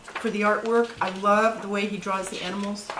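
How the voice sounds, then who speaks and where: A woman speaks at a moderate pace with medium pitch and monotone, flat intonation. Noticeable background noise runs behind her. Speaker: grandmother reading to grandchildren. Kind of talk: casual talk to camera.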